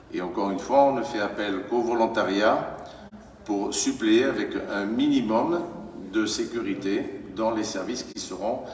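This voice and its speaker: Noticeable background noise and audible room echo accompany a man speaking at a very slow pace. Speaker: mayor chairing council meeting. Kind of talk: council meeting debate. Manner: loud; hesitant, many fillers.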